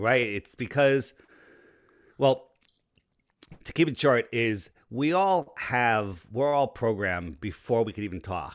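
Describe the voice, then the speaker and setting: A man with a New York accent, lively in intonation, at a fairly slow pace with long, frequent pauses, on a very clean recording with a silent background. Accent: East Coast, New York-like. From Connecticut, Fairfield County near New York City. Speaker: flat earth advocate, businessman. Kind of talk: podcast interview.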